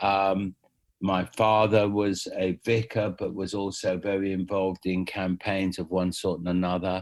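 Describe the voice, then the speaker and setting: In a southern English accent, a man speaks fairly slowly in a very deep, low voice with monotone, flat intonation, captured in a very clean recording with a silent background. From London, England. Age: 70s. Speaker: music manager. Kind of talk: interview.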